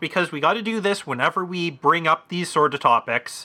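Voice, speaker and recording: Raised and projected, a man's bright, sharp voice moves at a moderate pace with lively intonation. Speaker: podcast co-host. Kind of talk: casual banter.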